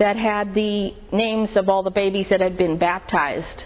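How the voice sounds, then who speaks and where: A woman talks in a monotone with flat intonation. She has an American accent. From Marin County, California. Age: 50s. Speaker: church member. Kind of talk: testimony.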